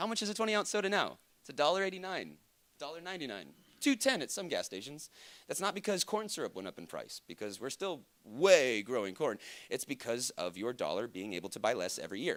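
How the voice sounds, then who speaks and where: This man talks at a very fast pace in a fairly high pitch, with vocal fry and very wide pitch swings, on a very clean recording with a silent background. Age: 30s. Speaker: conference speaker, crypto educator. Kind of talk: conference talk. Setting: stage with audience.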